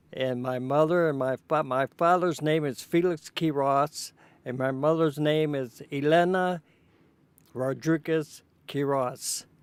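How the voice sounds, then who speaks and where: Speech in a Chicago accent comes at a fairly slow pace with fairly even intonation. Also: man, fairly high pitch for a man, dry, close sound with no echo, very clean recording, silent background. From Chicago, Illinois (Pullman). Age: 80s+. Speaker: interviewee recounting family history. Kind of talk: oral history interview. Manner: halting.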